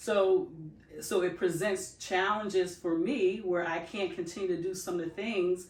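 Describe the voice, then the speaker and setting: A woman speaks at a moderate pace with a fairly low pitch and fairly even intonation. Audible room echo surrounds her voice. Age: 60s. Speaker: loctician and podcast co-host. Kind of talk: casual podcast chat. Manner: halting, many fillers.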